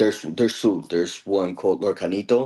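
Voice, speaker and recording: The tone is dark and mellow, with ordinary pitch variation. It comes through on a very clean recording with a silent background. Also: man. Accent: Spanish. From El Salvador, moved to US at age 8. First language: Spanish. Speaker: card game player. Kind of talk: casual chat.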